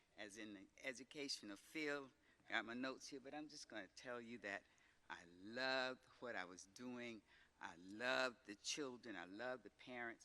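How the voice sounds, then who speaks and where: Speaking with an American accent, a man uses lively intonation, a medium pitch, a moderate pace and a bright, sharp tone. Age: 80s+. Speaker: retired teacher. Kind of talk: acceptance speech.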